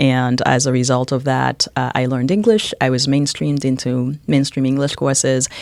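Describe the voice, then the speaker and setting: The pace is moderate. There are hardly any pauses. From Haiti, then Dorchester, Boston from age twelve. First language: French and Haitian Creole. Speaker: college president. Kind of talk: podcast interview. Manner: fluent, with frequent fillers (um, uh).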